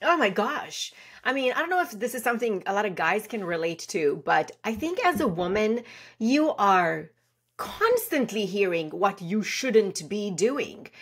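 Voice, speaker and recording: Loud and energetic, a woman speaks at a fairly slow pace in a fairly high pitch with very wide pitch swings. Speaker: branding strategist and CEO. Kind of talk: interview.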